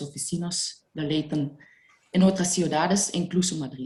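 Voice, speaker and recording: Her pitch fairly low, a woman speaks at a fairly slow pace with ordinary pitch variation. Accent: non-native. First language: not Spanish (speaking Spanish). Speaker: EU funding consultant. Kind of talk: webinar presentation. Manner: halting, non-native phrasing.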